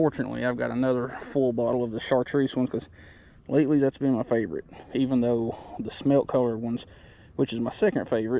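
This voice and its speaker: A quiet man speaks with a medium pitch and a dark, mellow tone. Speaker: fishing vlogger. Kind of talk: casual vlog narration while fishing. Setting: outdoors by a creek. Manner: quiet, subdued.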